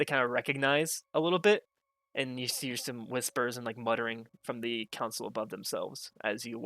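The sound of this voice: Ordinary pitch variation in an unforced reading voice, quiet background behind it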